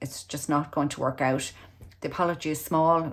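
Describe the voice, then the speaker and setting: Speaking with an Irish accent, a woman keeps up a fairly quick pace. Her pitch is very deep and low. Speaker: tarot reader. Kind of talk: tarot reading.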